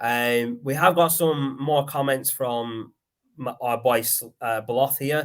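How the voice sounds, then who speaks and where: Speaking very slowly with fairly even intonation, a man with a Lancashire accent is heard in a very clean recording with a silent background. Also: medium pitch for a man. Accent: Lancashire accent, mistaken for Liverpool. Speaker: podcast host. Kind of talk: casual chat. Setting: live stream.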